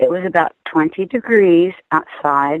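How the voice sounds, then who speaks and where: Using an ordinary speaking voice, a woman speaks at medium pitch and a fairly slow pace with lively intonation. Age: 60s. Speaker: former prison inmate, advocate. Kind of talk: interview testimony.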